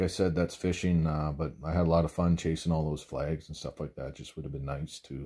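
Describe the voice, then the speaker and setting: A quiet background surrounds a man whose voice carries a dark, mellow tone. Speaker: ice fishing vlogger. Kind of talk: casual vlog chat. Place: home room. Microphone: phone near.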